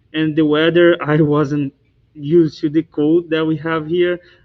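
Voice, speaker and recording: At a moderate pace, a man with a Brazilian Portuguese accent speaks at a fairly high pitch. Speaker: university student. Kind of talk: panel discussion. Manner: halting.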